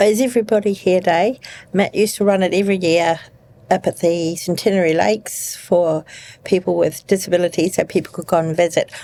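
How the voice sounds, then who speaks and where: A woman with a New Zealand accent, dark and mellow in tone, medium in pitch, fairly quick in pace, with fairly even intonation. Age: 60s. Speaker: nurse. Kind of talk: interview.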